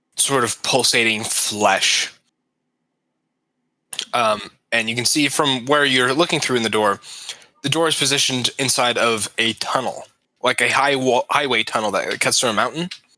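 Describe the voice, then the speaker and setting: A man puts on a raspy character voice at medium pitch, with ordinary pitch variation and very even loudness. He keeps a moderate pace but leaves long, frequent pauses. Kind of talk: tabletop game master narration. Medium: actual play. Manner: casual, halting descriptions.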